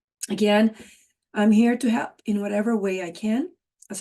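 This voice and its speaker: The voice is dark, mellow and somewhat breathy, moving at a moderate pace. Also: woman. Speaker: wellness coach and business consultant. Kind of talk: vlog intro monologue.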